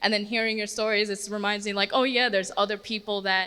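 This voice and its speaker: Loud and bright, sharp in tone, a woman speaks at a medium pitch. Her intonation is monotone and flat. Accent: American. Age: 20s. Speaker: former foster youth, audience speaker. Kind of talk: testimony. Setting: panel discussion with audience.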